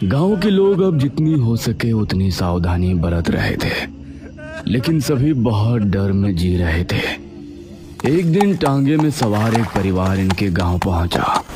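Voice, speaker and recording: In a cartoonish character voice, a man talks at a fairly slow pace with fairly low pitch, clear music playing in the background. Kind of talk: horror narration.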